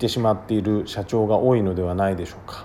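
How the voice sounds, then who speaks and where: Fairly low in pitch, a man talks at a fairly quick pace with a dark, mellow tone. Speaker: business consultant. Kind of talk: monologue podcast.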